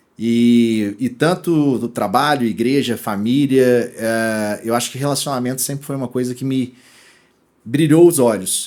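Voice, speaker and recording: A man speaks at medium pitch in a Minas Gerais accent, with ordinary pitch variation. The recording is very clean, with a silent background. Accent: mineiro. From Brazil, Minas Gerais (Belo Horizonte). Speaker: e-commerce executive. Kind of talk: interview podcast. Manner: casual, many fillers and restarts.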